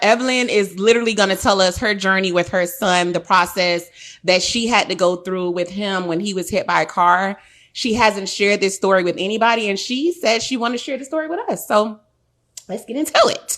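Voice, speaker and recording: A woman's medium-pitched, fairly quick voice with lively intonation, against a quiet background. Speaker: podcast host. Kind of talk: casual chat. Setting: live stream. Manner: loud.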